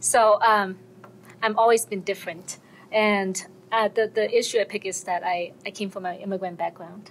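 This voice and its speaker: This woman has a Chinese accent. Her pitch sits in the medium range, with fairly even intonation. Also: moderate pace. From American Samoa (born in China). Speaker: workshop participant. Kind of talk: personal testimony in group workshop.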